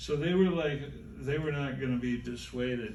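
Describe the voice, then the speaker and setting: With audible room echo, a man speaks at a moderate pace using lively intonation. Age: 70s. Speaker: music historian. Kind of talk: interview on stage. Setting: stage with audience. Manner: halting.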